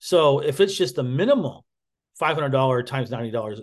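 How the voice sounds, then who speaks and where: A man speaks at a fairly quick pace in a fairly high pitch, his voice somewhat breathy. Pitch variation is ordinary, and the background is quiet. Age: 50s. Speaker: webinar presenter selling a business service. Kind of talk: webinar presentation. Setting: online webinar. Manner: halting, many fillers.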